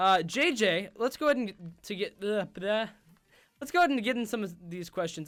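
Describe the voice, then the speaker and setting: Talking at a fairly quick pace, a man uses a high pitch. His intonation is lively. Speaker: stream host. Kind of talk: casual chat. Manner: halting.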